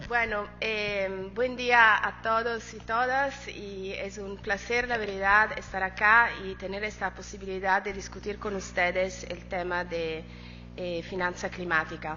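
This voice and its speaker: Over music in the background and audible room echo, a woman speaks at a very slow pace. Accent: non-native. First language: not Spanish (speaking Spanish). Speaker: climate finance specialist, panelist. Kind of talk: conference presentation. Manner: halting, many fillers.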